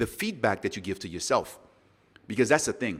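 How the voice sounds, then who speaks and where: A man with a slight non-native accent speaks at medium pitch in a very clean recording with a silent background. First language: not English. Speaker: podcast host. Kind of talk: solo motivational podcast talk. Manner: conversational, unscripted.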